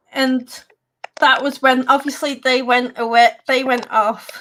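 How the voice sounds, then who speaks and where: A woman with an English accent. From England. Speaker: paranormal radio host. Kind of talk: casual chat. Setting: live stream. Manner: halting.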